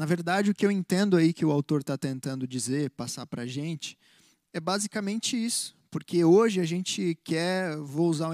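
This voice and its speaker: At a moderate pace, a man with a high pitch and ordinary pitch variation is heard on a very clean recording with a silent background and a dry, close sound with no echo. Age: 20s. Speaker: church musician and co-host. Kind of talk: casual chat. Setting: live stream.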